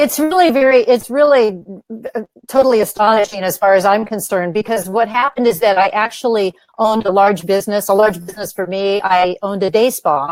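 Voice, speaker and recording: Delivered at a fairly quick pace, a normal speaking voice shows ordinary pitch variation. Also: woman, medium pitch for a woman. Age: 60s. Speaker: author and women's wellness teacher. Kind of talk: interview.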